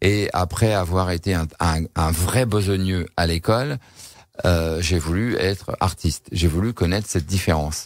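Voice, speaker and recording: On a very clean recording with a silent background, a man with a very deep, low pitch talks at a fairly slow pace, with ordinary pitch variation and very even loudness. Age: 60s. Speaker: shaman, former entrepreneur. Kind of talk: radio interview. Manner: halting, many repetitions and hesitations.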